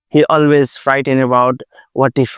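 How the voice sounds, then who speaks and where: A man with an Asian accent speaks at a medium pitch. The sound is dry and close with no echo, a very clean recording with a silent background. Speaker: Buddhist monk. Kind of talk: dharma talk. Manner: hesitant with fillers.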